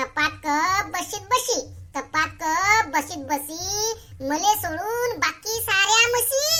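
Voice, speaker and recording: A woman speaks very slowly in a squeaky, cartoonish character voice of extremely high pitch, with very wide pitch swings over light background noise. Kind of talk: comic cartoon dialogue. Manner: teasing, loud.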